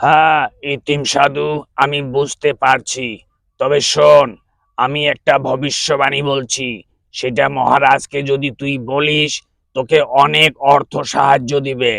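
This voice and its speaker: In a cartoonish character voice, a man talks fairly slowly with a fairly high pitch. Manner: sly, bargaining.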